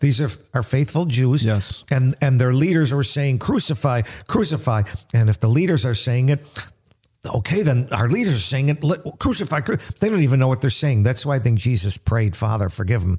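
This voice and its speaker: A man's medium-pitched, dark and mellow voice, somewhat breathy, with an American accent, lively intonation, very even loudness and a fairly quick pace on a very clean recording with a silent background. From US Northeast, grew up in a Little Italy neighbourhood. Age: 60s. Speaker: pastor and radio host. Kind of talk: radio Bible teaching.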